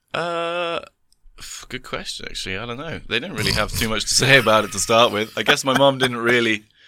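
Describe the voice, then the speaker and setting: Speaking fast-ish with an English accent, a man of medium pitch uses lively intonation and a bright, sharp tone, his loudness swinging widely. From England. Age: 20s. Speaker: tandem instructor and skydiver. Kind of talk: casual chat.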